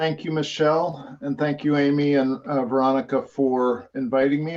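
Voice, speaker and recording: At a moderate pace, a man speaks at medium pitch. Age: 60s. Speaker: lawyer and recovery peer advisor. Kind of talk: presentation. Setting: video call from home office. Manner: halting, many fillers.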